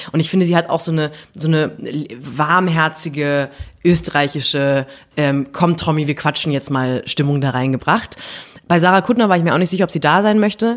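Her pitch very deep and low, a woman speaks at a fairly quick pace with ordinary pitch variation. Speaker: podcast co-host. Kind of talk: casual chat. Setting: office.

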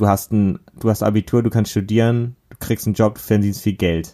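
The recording is very clean, with a silent background. A man with a dark, mellow tone and a fairly low pitch talks at a fairly slow pace with fairly even intonation. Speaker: podcast co-host. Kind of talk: casual chat.

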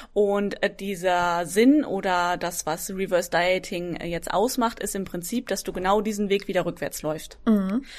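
A woman's normal speaking voice, medium in pitch with ordinary variation, at a fairly slow pace with hardly any pauses, on a very clean recording with a silent background. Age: 20s. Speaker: fitness coach. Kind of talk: casual interview.

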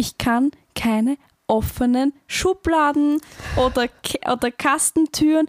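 A woman speaks at a very slow pace with an Austrian accent. Her pitch is high, with ordinary variation. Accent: Austrian dialect, some. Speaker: podcast co-host, university student. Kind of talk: casual chat.

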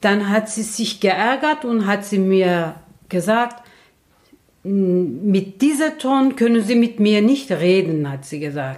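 A woman speaks at a very slow pace in a Turkish accent. Her pitch sits in the medium range and swings very widely. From Turkey. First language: Turkish (speaking German). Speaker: host's mother, interviewee. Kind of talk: casual chat.

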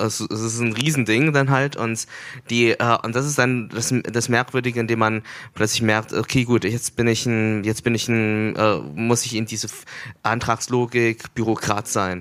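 A man talks in a flat monotone at medium pitch and a fairly slow pace. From Germany. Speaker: festival curator and artist. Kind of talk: on-stage conversation. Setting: stage at a festival. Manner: halting, many fillers.

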